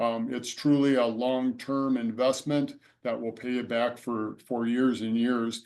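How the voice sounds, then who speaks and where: In a monotone, flat intonation, a man talks at a fairly slow pace. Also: medium pitch for a man. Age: 60s. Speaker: solar homeowner panelist. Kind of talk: testimony. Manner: halting, many fillers.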